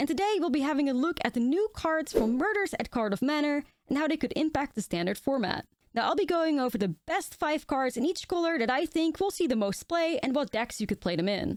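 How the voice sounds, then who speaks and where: A woman with a high pitch and very wide pitch swings speaks at a fairly quick pace and very even loudness, the sound dry and close with no echo. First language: not English. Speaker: Magic: The Gathering content creator. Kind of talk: card set review video.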